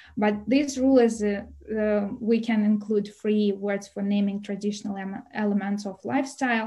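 A woman with a Russian accent speaks at a moderate pace in a dark, mellow, somewhat breathy tone. Her intonation is fairly even, and the background is quiet. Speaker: visiting scholar, Russian teacher; language teacher presenter. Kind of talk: webinar presentation. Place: home room. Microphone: webcam.

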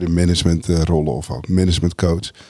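A man talks at a moderate pace in a very deep, low pitch. His tone is dark and mellow. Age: 50s. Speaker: people manager and organisational development consultant. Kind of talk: casual chat. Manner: halting, many fillers and repetitions.

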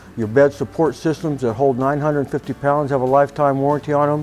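Faint music plays in the background. A man is speaking. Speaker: RV salesperson. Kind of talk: product walk-around presentation. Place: shop. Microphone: lapel.

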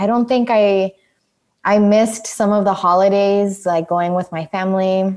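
With ordinary pitch variation, a medium-pitched woman talks in an unremarkable speaking voice. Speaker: podcast host. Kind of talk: casual chat. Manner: laughs often.

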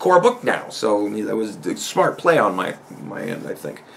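A man with lively intonation at a fairly slow pace. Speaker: podcast host. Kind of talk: casual vlog chat. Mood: amused storytelling. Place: home room.

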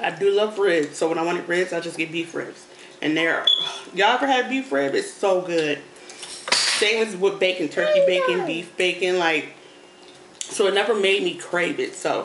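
A woman talks at a moderate pace with ordinary pitch variation over noticeable background noise. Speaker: mother vlogger. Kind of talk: casual mukbang chat. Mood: relaxed, chatty. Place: home room. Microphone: phone near.

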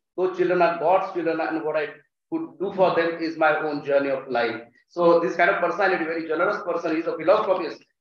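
With an Indian accent, a man talks very fast at a high pitch with fairly even intonation, and room echo is audible. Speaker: college faculty, event host. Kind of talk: formal welcome speech. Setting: stage with audience. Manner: formal. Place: hall. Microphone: podium.

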